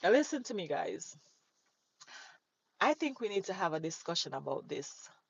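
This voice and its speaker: A woman speaks with a Jamaican accent and an animated tone. Her pitch swings very widely. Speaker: livestreamer. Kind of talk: casual chat. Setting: live stream.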